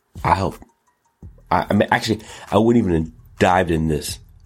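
A man's very deep, low voice with ordinary pitch variation, music in the background. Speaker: show host; rapper. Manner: energetic, animated.

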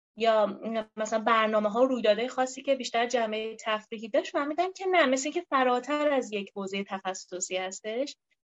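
A woman with an ordinary speaking voice, fairly high pitch and lively intonation, at a fairly quick pace. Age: 20s. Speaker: speech therapist and researcher. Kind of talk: interview.

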